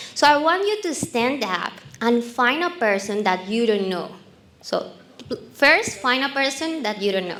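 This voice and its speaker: Noticeable background noise sits under a voice with a Colombian accent. The pitch swings very widely. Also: woman, high pitch for a woman, fairly slow pace. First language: Spanish. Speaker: marketing speaker. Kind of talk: talk to a live audience with a guided exercise.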